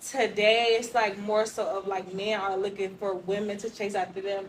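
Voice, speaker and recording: A woman at a medium pitch, monotone and flat, at a moderate pace amid noticeable background noise. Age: young. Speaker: single participant in group discussion. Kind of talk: casual group discussion.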